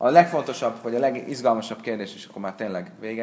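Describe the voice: Plain reading aloud, its pitch rising and falling in an ordinary way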